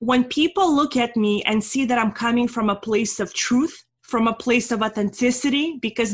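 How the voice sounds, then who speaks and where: A somewhat breathy woman with a fairly high pitch speaks at a moderate pace with ordinary pitch variation, recorded very cleanly against a silent background. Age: 40s. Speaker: business consultant. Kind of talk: interview.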